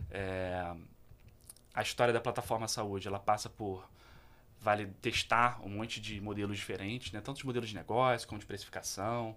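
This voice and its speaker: A man with a fairly low pitch speaks in a bright, sharp tone, his intonation fairly even. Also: moderate pace. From Petrópolis, Rio de Janeiro state, Brazil. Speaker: social entrepreneur. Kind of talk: interview.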